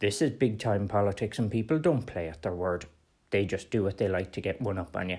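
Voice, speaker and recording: A man with an Irish accent, fairly quick in pace, with lively intonation. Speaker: political podcast host. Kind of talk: solo political commentary.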